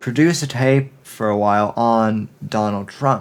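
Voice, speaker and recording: Very slow speech from a man with an American accent, medium in pitch, with fairly even intonation. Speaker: political podcaster. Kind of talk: opinion monologue.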